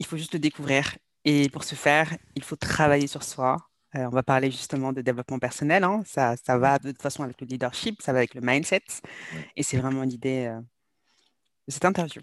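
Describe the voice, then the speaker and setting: A woman's very deep, low voice at a fairly quick pace, with ordinary pitch variation, big swings in loudness and long, frequent pauses, in a dry, close sound with no echo over a quiet background. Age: 30s. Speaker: sales and mindset coach. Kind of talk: interview.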